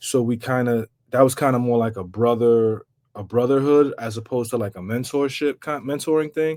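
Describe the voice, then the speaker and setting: On a very clean recording with a silent background, a man with a New York accent talks fairly quickly at medium pitch with ordinary pitch variation. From New York, Bronx. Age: 40s. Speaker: rapper. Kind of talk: podcast interview.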